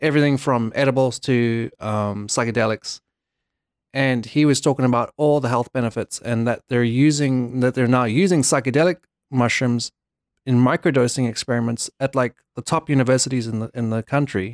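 This man has an unremarkable speaking voice with fairly even intonation at a moderate pace. The recording is very clean, with a silent background. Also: medium pitch for a man, dry, close sound with no echo. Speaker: guest. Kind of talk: casual chat.

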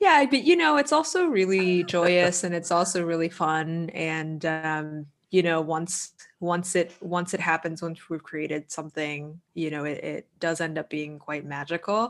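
A woman with an American accent and an unremarkable speaking voice, fairly low in pitch, with ordinary pitch variation and a fairly slow pace. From Boston, US. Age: 30s. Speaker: composer and lyricist. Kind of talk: casual chat.

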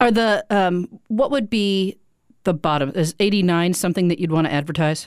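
A woman's unremarkable speaking voice at a medium pitch, with ordinary pitch variation, very even loudness and a moderate pace. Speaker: podcast host. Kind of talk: casual interview chat. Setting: studio.

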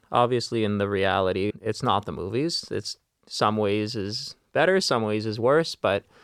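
A man with a Canadian accent speaks in an ordinary speaking voice, fairly low in pitch with ordinary pitch variation, recorded dry and close with no echo against a quiet background. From Vancouver, Canada. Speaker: ICU nurse. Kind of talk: casual chat. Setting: studio.

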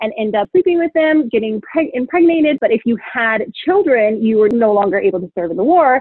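Her intonation lively, a woman speaks at a moderate pace in a fairly high pitch. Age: 20s. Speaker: travel worker, guest. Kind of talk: casual chat.

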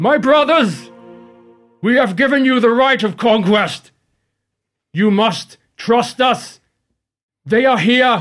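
With faint music in the background, a man uses a put-on character voice at an extremely high pitch, moving at a fairly slow pace with long, frequent pauses.

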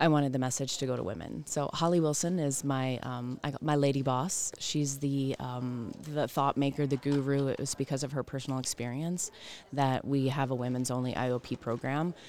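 A woman with an American accent, her pitch very deep and low, her intonation fairly even, at a fairly quick pace. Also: very clean recording, silent background. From US South. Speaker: clinical director of a women's treatment program. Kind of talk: interview. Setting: conference booth.

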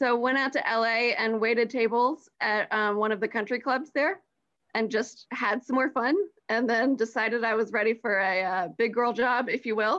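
With a normal speaking voice, a woman talks at a moderate pace and fairly high pitch, showing ordinary pitch variation and very even loudness. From US South, Atlanta area (Georgia). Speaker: marketing manager. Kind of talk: casual interview.

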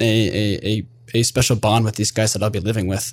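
A man's fairly low voice, an unremarkable speaking voice with fairly even intonation, on a very clean recording with a silent background. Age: 20s. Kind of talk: interview.

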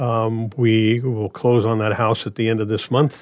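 Speaking in a Midwestern American accent, a man of medium pitch keeps a fairly slow pace and fairly even intonation. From Nebraska. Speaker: radio reading volunteer. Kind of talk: casual interview. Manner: halting.

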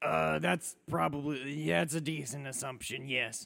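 A man's raspy, put-on character voice at medium pitch, moderate pace and with very wide pitch swings. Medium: actual play. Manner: casual, easygoing.

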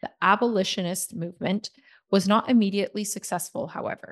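A woman's medium-pitched, unremarkable speaking voice with a Canadian accent and ordinary pitch variation. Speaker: podcast co-host, social media coordinator. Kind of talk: scripted history podcast narration.

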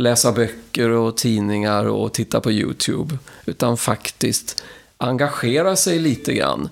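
This man has an ordinary speaking voice at a medium pitch. He talks at a fairly slow pace with ordinary pitch variation. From Sweden, Karlstad (Värmland). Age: 60s. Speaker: engineer, member of a ufo association. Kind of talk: interview.

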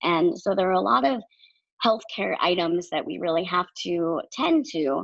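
An ordinary speaking voice from a woman, fairly low in pitch, with lively intonation at a fairly slow pace. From Maine, US. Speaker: podcast co-host, nonprofit social media worker. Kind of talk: casual chat.

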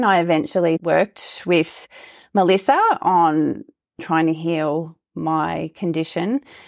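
A woman speaks with an Australian accent at a fairly low pitch. The sound is dry and close, with no echo. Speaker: health coach. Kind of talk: interview. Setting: remote audio call.

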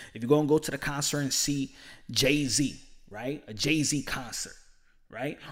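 In a very clean recording with a silent background, a man speaks in an animated tone at a fairly high pitch. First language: Spanish. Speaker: boxing podcaster. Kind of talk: casual commentary monologue.

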